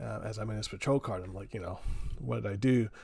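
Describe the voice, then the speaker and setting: With a General American accent, a man talks at a medium pitch with vocal fry. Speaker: podcast host and military veteran. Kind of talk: casual chat. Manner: halting.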